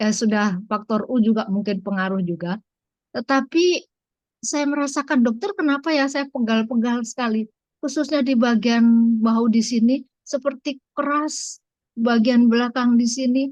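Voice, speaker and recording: Recorded with a dry, close sound and no echo, a woman talks at a fairly slow pace in a high pitch with ordinary pitch variation. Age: 70s. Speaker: patient sharing testimony. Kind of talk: testimony.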